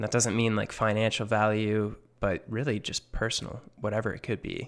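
In a very clean recording with a silent background, a man with a fairly low pitch and a normal speaking voice speaks at a moderate pace. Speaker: podcast co-host. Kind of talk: casual banter podcast chat.

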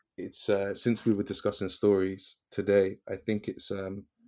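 With a British accent, a man speaks at a fairly low pitch in a dark, mellow tone with monotone, flat intonation, recorded very cleanly against a silent background. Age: 20s. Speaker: educator. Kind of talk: interview.

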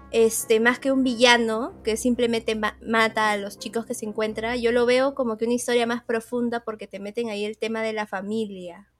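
The speaker uses a monotone, flat intonation. There are hardly any pauses. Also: woman, fairly high pitch for a woman, moderate pace. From Lima, Peru. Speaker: podcaster, horror film reviewer. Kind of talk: casual chat.

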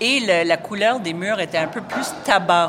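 Amid noticeable background noise, a woman with an English accent speaks with lively intonation. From Montreal, Quebec (Ville-Mont-Royal). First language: English (speaking French). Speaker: food critic. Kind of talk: casual interview. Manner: halting, with repetitions.

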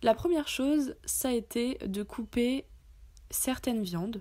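The recording is very clean with a silent background. A woman speaks at a fairly slow pace with ordinary pitch variation. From France. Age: 20s. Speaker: podcaster. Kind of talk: personal testimony monologue. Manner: casual with frequent hesitations.

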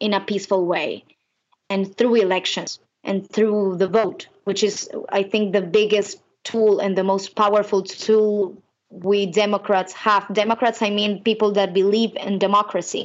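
Using a monotone, flat intonation, a woman with a Spanish accent speaks at a fairly slow pace and a medium pitch. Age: 20s. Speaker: singer-songwriter. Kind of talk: interview.

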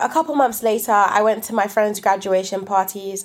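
A woman speaks in a London accent. Her intonation stays fairly even. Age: 20s. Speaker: young storyteller. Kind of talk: personal storytelling.

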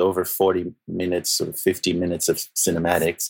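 A man's voice with a Portuguese accent. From Brazil, Rio de Janeiro. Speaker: composer. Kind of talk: interview. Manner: halting.

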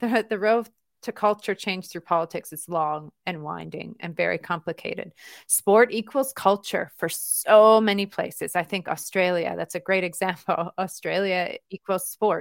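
A woman with an unremarkable speaking voice talks at a moderate pace and medium pitch, with ordinary pitch variation, big swings in loudness and a dry, close sound with no echo. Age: 40s. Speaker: tech company co-founder. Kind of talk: interview.

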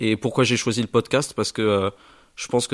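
A man with a plain, everyday voice speaks at a fairly quick pace and fairly low pitch, his intonation fairly even, the sound dry and close with no echo over a quiet background. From western France, Charente-Maritime (Saintes). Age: young. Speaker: business school student. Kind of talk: self-introduction.

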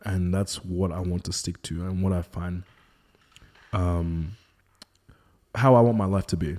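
In an Australian accent, a man with a very deep, low pitch and a dark, mellow tone talks at a fairly slow pace with long, frequent pauses. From Melbourne, Australia. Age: 30s. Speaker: model and content creator. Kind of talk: casual chat.

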